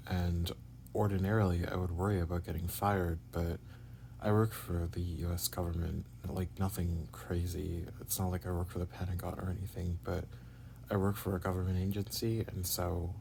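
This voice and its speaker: The voice has a dark, mellow tone and sounds somewhat breathy. It moves at a moderate pace with ordinary pitch variation. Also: man. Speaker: vlogger. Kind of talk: personal video diary. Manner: halting, many fillers.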